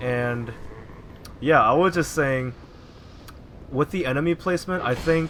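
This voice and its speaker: With lively intonation and a moderate pace, a man speaks over noticeable background noise. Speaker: gaming YouTuber. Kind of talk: gameplay commentary. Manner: soft-spoken. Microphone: audio balance was poor, voice hard to hear.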